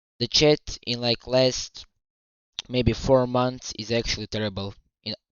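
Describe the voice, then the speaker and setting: A man with a non-native accent speaks at a medium pitch and a fairly slow pace. His intonation is fairly even, with long, frequent pauses. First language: not English. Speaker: streamer reacting to a video. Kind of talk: live stream reaction. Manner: stuttering.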